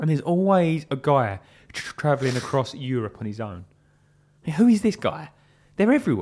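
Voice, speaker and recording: On a very clean recording with a silent background, a man with fairly high pitch makes very wide pitch swings and takes long, frequent pauses. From England. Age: 20s. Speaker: podcast co-host. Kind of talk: casual chat. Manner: stammering repetitions.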